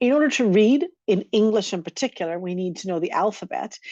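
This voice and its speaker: Over a quiet background, a woman speaks at a fairly quick pace. Her tone is dark and mellow, and the sound is dry and close with no echo. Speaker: educator on multilingual learners. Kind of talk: recorded lecture. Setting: recorded session.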